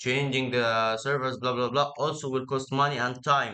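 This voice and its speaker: A man speaks in an Egyptian accent. His pitch is fairly high and his intonation fairly even. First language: Arabic. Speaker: tech idea presenter. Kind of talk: casual explanation. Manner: halting, many fillers and repeats.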